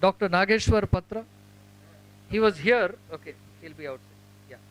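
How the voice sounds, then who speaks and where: This man has a high pitch with ordinary pitch variation and big swings in loudness. The sound is dry and close with no echo. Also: moderate pace. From India, Tamil Nadu. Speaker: ophthalmologist presenting awards at medical event. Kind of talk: calling out names at prize ceremony. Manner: casual, joking.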